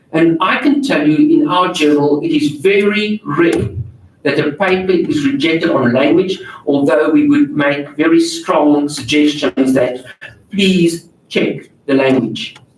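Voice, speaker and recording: Someone with a non-native accent speaks at a fairly slow pace. Noticeable background noise runs underneath. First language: not English. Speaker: journal editor and workshop presenter. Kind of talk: workshop Q&A answer. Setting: auditorium, live-streamed.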